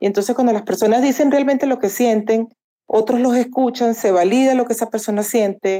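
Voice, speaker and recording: Her tone dark and mellow, a woman speaks at a fairly quick pace with a fairly high pitch, fairly even intonation and very even loudness. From Venezuela. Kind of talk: casual discussion.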